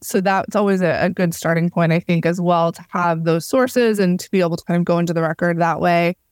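In an American accent, a woman with a plain, everyday voice talks at a fairly quick pace and fairly low pitch, with dry, close sound with no echo on a very clean recording with a silent background. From Florida, Cuban American. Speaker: novelist. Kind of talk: interview. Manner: frequent fillers, casual.

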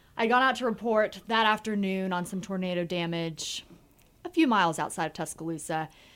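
In an American accent, a woman speaks at a fairly quick pace. Her medium-pitched voice has ordinary pitch variation. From US South, Georgia (Marietta, near Atlanta). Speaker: TV news anchor. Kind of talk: casual chat.

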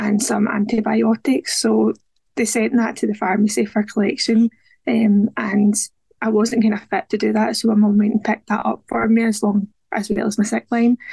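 A woman's medium-pitched voice at a moderate pace, dark and mellow in tone, with vocal fry, a slightly husky edge and little pitch movement, in a dry, close sound with no echo

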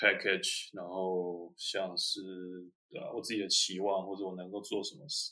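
The man's loudness rises and falls in big swings. His pace stays moderate. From Taiwan. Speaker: MBA graduate, consultant. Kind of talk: interview. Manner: halting.

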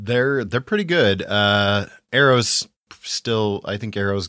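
A man's fairly low voice with a bright, sharp tone, ordinary pitch variation and a very slow pace, in a dry, close sound with no echo. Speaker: podcast host. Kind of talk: casual chat.

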